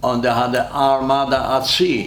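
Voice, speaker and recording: A man speaks at a medium pitch amid noticeable background noise and audible room echo. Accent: Polish. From Poland. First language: Polish. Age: 90s. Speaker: war veteran. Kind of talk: oral history interview.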